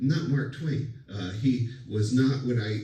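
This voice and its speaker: Amid noticeable background noise and audible room echo, a man speaks at medium pitch with ordinary pitch variation. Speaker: college lecturer. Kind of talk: lecture. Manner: hesitant, many fillers; loud.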